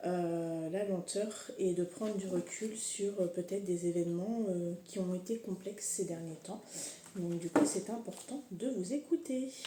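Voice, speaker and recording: A woman speaks with a dark, mellow, somewhat breathy tone. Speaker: horoscope reader and energy healer. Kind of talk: casual tarot-style horoscope reading. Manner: hesitant, many fillers; relaxed, unhurried.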